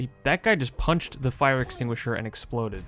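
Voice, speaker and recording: Music can be heard in the background. The man's voice shows ordinary pitch variation. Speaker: gaming YouTuber. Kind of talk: gameplay commentary. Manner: fast.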